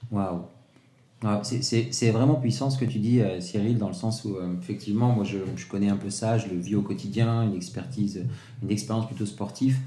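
Speaking at a moderate pace, a man has a fairly low pitch, a dark, mellow tone and a somewhat breathy quality, with ordinary pitch variation and audible room echo. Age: 40s. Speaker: podcast host. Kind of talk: interview. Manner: animated.

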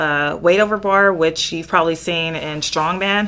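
In an American accent, a woman talks in an unremarkable speaking voice, her pitch fairly low and her intonation fairly even. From Southern California. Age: 30s. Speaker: Highland Games athlete. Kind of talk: casual chat.

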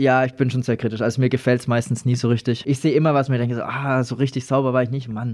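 Very fast speech in a flat, monotone intonation. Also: man, medium pitch for a man. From Lower Franconia, Germany (Schweinfurt area). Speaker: breakdance performer and entertainment company manager. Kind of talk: casual interview. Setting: studio.

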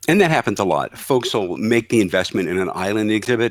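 The man has a plain, everyday voice with ordinary pitch variation and a moderate pace, recorded very cleanly with a silent background and a dry, close sound with no echo. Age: 60s. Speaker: trade show exhibit marketing executive. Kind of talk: casual interview.

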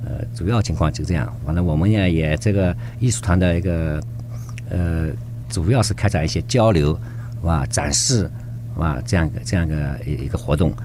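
Over noticeable background noise, a man with a very deep, low voice speaks at a fairly quick pace with very wide pitch swings. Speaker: youth activity center representative. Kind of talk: radio interview. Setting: studio. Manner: halting.

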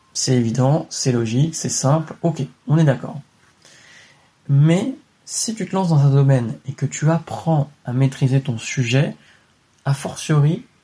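A man with a dark, mellow tone and a fairly high pitch sounds somewhat breathy, keeping ordinary pitch variation at a moderate pace. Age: 20s. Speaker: real estate investing podcaster. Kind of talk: solo motivational monologue. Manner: casual, direct with filler words.

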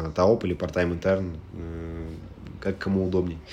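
A man's very deep, low voice in monotone, flat intonation at a moderate pace. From Russia, Moscow. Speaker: startup data executive. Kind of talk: interview.

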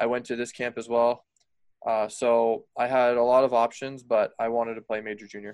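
Using a monotone, flat intonation, a man with an American accent speaks at a moderate pace and medium pitch. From US, Colorado. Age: 20s. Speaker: former ice hockey player. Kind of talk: casual interview.

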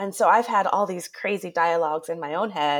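On a very clean recording with a silent background, a woman speaks in a plain, everyday voice. It sits fairly low in pitch, with ordinary pitch variation. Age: 40s. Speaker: podcast host, former teacher. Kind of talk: interview.

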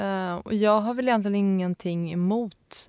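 A woman talks at medium pitch with ordinary pitch variation. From Stockholm area, Sweden. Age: 30s. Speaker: graphic designer. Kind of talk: interview. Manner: hesitant, many fillers.

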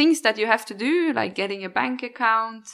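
Bright, sharp tone in a Norwegian accent, with lively intonation on a very clean recording with a silent background. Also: woman. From Norway. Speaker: expat professional. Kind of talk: casual interview.

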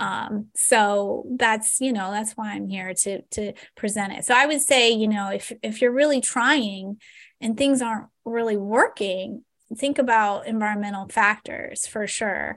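A fairly slow woman with an ordinary speaking voice, fairly high in pitch with ordinary pitch variation, against a quiet background. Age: 40s. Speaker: acupuncturist and health educator. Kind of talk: casual interview.

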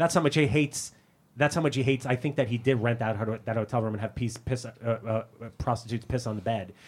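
Speaking very fast with an American accent, a man at medium pitch sounds somewhat breathy, with ordinary pitch variation on a very clean recording over a silent background. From US, Brooklyn, New York. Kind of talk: casual chat.

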